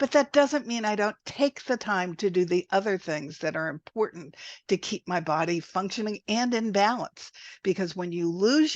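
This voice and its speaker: Against a quiet background with a dry, close sound and no echo, the voice moves at a moderate pace with very wide pitch swings. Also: woman. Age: 70s. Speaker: health coach. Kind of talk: interview. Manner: animated.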